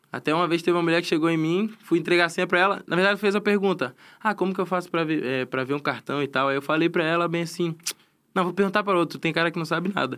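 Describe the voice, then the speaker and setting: A man's high voice with a slight Florianópolis accent, very fast pace and fairly even intonation. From Florianópolis, Santa Catarina, Brazil. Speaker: professional esports player. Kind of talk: casual chat. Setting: studio.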